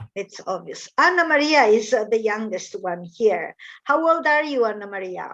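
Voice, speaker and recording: Very wide swings in pitch against a quiet background. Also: woman, fairly high pitch for a woman, moderate pace. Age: 50s. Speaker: English teacher. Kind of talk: language lesson conversation. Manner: hesitant.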